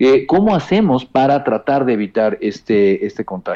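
A man's fairly high, dark and mellow voice with lively intonation at a moderate pace. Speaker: health policy specialist. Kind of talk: interview. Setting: phone call. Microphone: bad connection.

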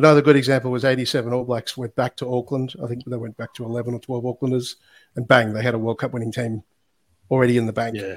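A man's very fast, monotone, flat delivery in a medium pitch with an Australian accent, the sound dry and close with no echo. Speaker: former rugby player and sports analytics founder. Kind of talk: casual interview chat.

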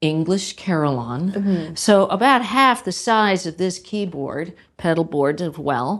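A woman with an American accent speaks at a fairly slow pace. She has a normal speaking voice. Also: very clean recording, silent background. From US, Pittsburgh, Pennsylvania. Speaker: carillonneur and retired physician. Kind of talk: interview.

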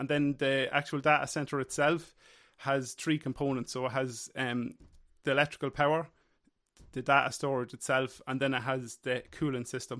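A man's medium-pitched voice with an Irish accent, flat and monotone in intonation, at a moderate pace. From Ireland. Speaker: workplace safety officer. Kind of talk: casual chat.

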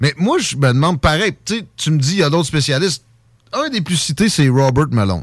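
His pitch swinging very widely, a man speaks. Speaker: radio host. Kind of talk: talk radio interview. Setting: studio.

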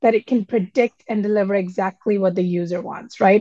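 A woman speaks with a dark, mellow tone. The sound is dry and close, without echo. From India (Delhi). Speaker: commerce executive. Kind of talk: interview.

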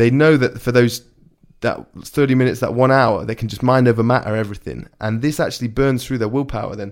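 Someone with an English accent speaks at a very fast pace with fairly even intonation. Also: man, medium pitch for a man. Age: 20s. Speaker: podcast host, parkour athlete. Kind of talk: casual chat. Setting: home podcast room.

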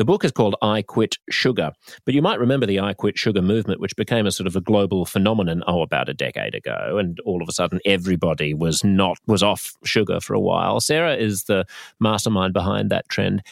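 A man talks very fast with an Australian accent, his pitch fairly low. The sound is dry and close, without any echo. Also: ordinary pitch variation. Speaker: comedian and radio host. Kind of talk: casual debate.

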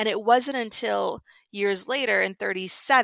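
In an American accent, a woman speaks with a bright, sharp tone and vocal fry, in a very clean recording with a silent background and a dry, close sound with no echo. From US, Ukrainian family. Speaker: screenwriter and podcaster. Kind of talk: interview.

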